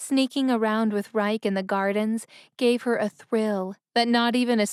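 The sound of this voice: An unforced reading voice with fairly even intonation against a quiet background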